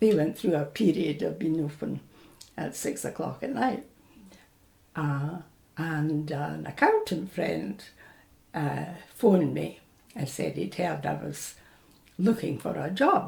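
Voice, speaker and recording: A woman with a Scottish accent speaks at a fairly slow pace with long, frequent pauses. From Scotland, Falkirk. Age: 80s+. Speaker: oral history interviewee, retired bank worker. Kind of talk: oral history interview. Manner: hesitant with fillers.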